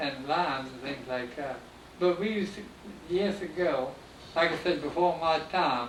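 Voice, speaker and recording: Here a man speaks at a moderate pace with a fairly high pitch and ordinary pitch variation. Noticeable background noise is present. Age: 80s+. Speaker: former pineapple carrier and boat owner. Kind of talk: oral history interview answer.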